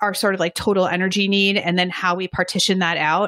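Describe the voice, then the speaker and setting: This woman's voice sits at a medium pitch, with a bright, sharp tone and a dry, close sound with no echo. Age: 40s. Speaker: sports nutritionist and lifting coach. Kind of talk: podcast interview.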